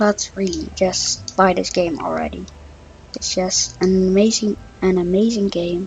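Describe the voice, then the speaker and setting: Over noticeable background noise, a woman with a Dutch accent speaks at a fairly slow pace. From Netherlands. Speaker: gaming YouTuber. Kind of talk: gameplay commentary. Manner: halting, many fillers.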